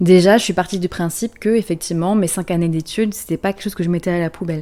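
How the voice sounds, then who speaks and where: In an unremarkable speaking voice, a woman talks at a fairly quick pace with fairly low pitch and fairly even intonation. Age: late 20s. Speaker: therapist and energy coach. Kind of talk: podcast-style personal story. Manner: casual, conversational.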